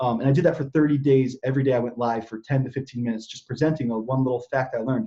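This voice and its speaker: Very fast and with hardly any pauses, a man speaks at medium pitch with fairly even intonation and a somewhat breathy, dark, mellow tone. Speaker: affiliate marketer. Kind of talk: interview. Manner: mumbling.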